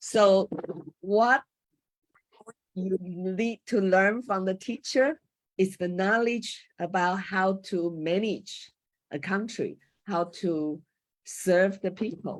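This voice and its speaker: A woman with a Chinese accent talks very slowly at a medium pitch, with ordinary pitch variation. She leaves long, frequent pauses. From Taiwan. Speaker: former school teacher, panel speaker on coaching. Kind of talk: panel talk. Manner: halting, with hesitations.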